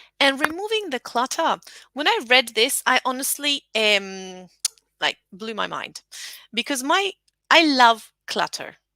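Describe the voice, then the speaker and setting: In a dry, close sound with no echo, a woman uses a raised, projected voice that is high, bright and sharp, with very wide pitch swings. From Latin America. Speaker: English teacher trainer. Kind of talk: webinar presentation. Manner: loud.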